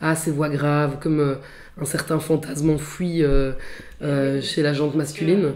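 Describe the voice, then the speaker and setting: Over noticeable background noise, a woman with a very deep, low pitch speaks fairly slowly in a monotone, flat intonation. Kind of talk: interview answer. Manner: hesitant.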